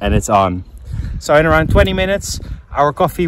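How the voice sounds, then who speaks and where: A man talks at a fairly quick pace, the sound dry with no echo over light background noise. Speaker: cycling vlogger. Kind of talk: casual vlog chat. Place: open country. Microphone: phone near.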